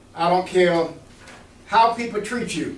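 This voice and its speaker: Audible room echo carries a man's voice. He speaks at a moderate pace in an animated tone. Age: 80s+. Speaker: retired Air Force veteran, mentoring speaker. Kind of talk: motivational talk to college students. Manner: animated, engaging audience.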